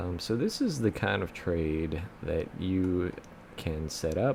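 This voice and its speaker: A man talks in a very deep, low voice with ordinary pitch variation. Noticeable background noise runs underneath. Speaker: options trading youtuber. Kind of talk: screen-share tutorial. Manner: casual, filler-heavy.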